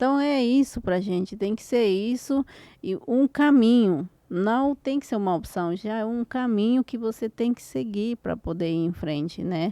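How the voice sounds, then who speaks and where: Fairly high in pitch, a woman's voice carries a dark, mellow tone and lively intonation. She talks at a fairly slow pace in a dry, close sound with no echo. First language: Spanish (speaking Portuguese). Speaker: podcast host and e-commerce mentor. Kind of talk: interview conversation.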